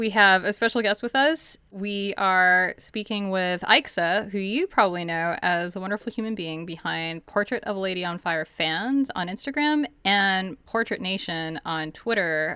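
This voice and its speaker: At a fairly slow pace, a woman with a medium pitch speaks in a bright, sharp tone with lively intonation, recorded very cleanly against a silent background. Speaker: podcast host. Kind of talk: casual chat.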